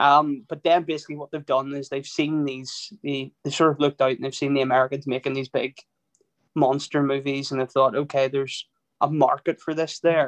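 In an Irish accent, a man speaks fairly quickly in a flat monotone at a fairly high pitch, the sound dry and close with no echo. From Ireland. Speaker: film podcast co-host. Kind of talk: casual chat.

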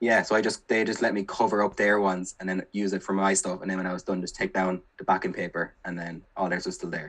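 With an Irish accent and a very deep, low pitch, a man rattles along at a very fast pace in a flat monotone, hardly pausing at all. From Ireland, County Kilkenny. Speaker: primary school teacher. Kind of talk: casual chat.

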